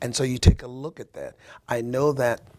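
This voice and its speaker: A man at medium pitch and moderate pace, with fairly even intonation and noticeable background noise. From US Midwest, small town in Ohio. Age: 60s. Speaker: interview guest, former football player. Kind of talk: radio interview. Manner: halting, many fillers and repetitions.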